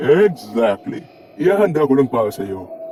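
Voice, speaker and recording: Using a put-on character voice, a man speaks at a fairly high pitch with very wide pitch swings. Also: moderate pace. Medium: fan dub. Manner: laid-back, deadpan.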